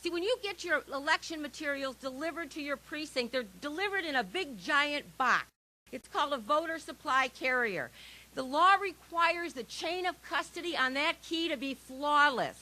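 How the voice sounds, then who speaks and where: With an American accent, a woman projects a raised, high, bright and sharp voice with lively intonation at a moderate pace. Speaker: election integrity activist. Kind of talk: rally speech. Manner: animated.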